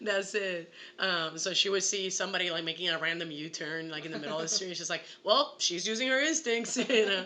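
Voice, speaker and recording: Amid noticeable background noise, a woman speaks fairly quickly in an animated tone with lively intonation. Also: medium pitch for a woman. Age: 20s. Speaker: actress. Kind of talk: casual chat.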